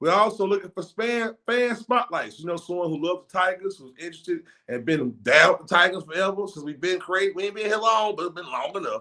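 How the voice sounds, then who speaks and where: Talking at a very fast pace, a man uses a raised, projected, high-pitched voice with a bright, sharp tone, ordinary pitch variation and big swings in loudness. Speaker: talk show host for a football team. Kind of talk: show intro announcements. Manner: fast-talking; rolls his R's.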